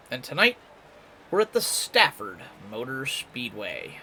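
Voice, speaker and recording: Against noticeable background noise, a man talks in a fairly high pitch with very wide pitch swings. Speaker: sim racing commentator. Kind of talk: live commentary. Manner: quieter, subdued; laid-back.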